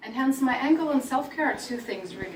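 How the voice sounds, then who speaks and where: A woman with a Russian accent is heard with audible room echo and noticeable background noise. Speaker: career coach. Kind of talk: talk to an audience. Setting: event with audience.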